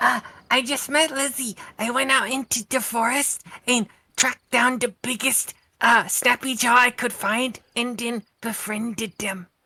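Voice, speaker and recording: A female-sounding voice uses a put-on character voice pitched high. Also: moderate pace. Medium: actual play. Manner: casual, upbeat.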